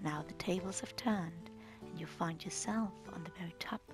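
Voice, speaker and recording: A soft-spoken woman with music in the background. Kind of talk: narration introducing scenes.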